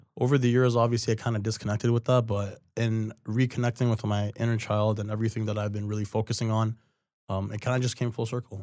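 A man with a Toronto accent speaks very fast at medium pitch, with monotone, flat intonation and a dark, mellow tone. The recording is very clean, with a silent background. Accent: Canadian (Toronto area). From Mississauga, Ontario, Canada. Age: 20s. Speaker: poet and creative project manager. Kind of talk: casual interview.

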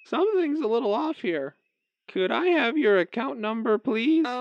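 Pitch swings very widely while the speech keeps a moderate pace. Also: man, extremely high pitch for a man. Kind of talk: comic sketch acting. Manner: cheery scripted politeness, then wary.

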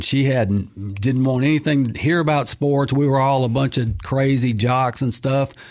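Here is a man with a Mississippi accent. His pitch sits at a medium level. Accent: Southern US (Mississippi). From Mississippi (Clinton). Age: 60s. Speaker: author and freelance sportswriter. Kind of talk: radio interview. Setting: studio.

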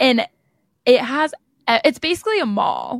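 In a General American accent with vocal fry, the speaker keeps a moderate pace in a very clean recording with a silent background and a dry, close sound with no echo. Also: woman. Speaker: podcast host, college student. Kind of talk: casual chat.

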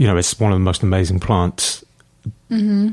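A fairly quick voice in a London accent, on a very clean recording with a silent background. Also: man. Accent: British, London. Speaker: hairdresser and homelessness campaigner. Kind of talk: casual chat.

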